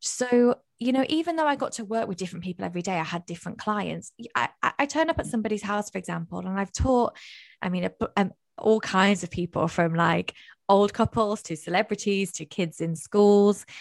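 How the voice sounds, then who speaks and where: A woman's medium-pitched voice with a northern English accent, lively intonation and a fairly quick pace, in a very clean recording with a silent background and a dry, close sound with no echo. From northern England. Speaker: mindset coach. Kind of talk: casual chat. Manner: loud, animated.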